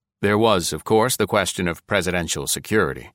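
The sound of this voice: Just an unforced reading voice, nothing more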